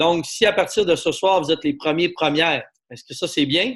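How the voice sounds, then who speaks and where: A man is speaking. He talks in a Quebec accent. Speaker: network marketing presenter. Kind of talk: sales pitch. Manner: animated.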